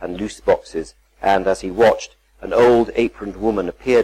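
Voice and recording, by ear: The speaker's pitch varies in an ordinary way while reading aloud in a natural voice.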